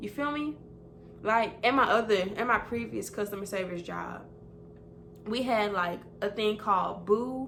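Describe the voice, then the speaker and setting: A woman's medium-pitched voice with vocal fry, ordinary pitch variation, a fairly slow pace and long, frequent pauses, in a room with audible echo. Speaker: vlogger and customer service representative. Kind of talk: casual chat. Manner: animated.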